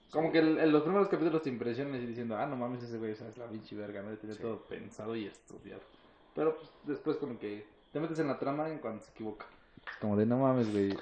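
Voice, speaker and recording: With a Mexican accent, a man of medium pitch talks at a very fast pace, with ordinary pitch variation and big swings in loudness. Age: 20s. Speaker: mechanical engineer. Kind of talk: casual chat. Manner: animated.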